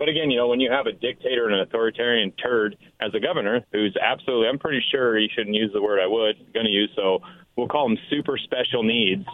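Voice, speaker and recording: Words come at a very fast pace in an angry tone, the loudness kept very even throughout. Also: man, medium pitch for a man, ordinary pitch variation. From Washington State, Richland. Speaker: caller. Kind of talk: talk radio call-in. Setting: phone call.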